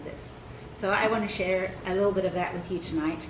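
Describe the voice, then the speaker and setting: In a South African accent, a woman talks at a fairly quick pace with monotone, flat intonation, amid audible room echo and noticeable background noise. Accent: non-Southern, South African. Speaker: anthropologist. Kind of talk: public talk. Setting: event with live audience.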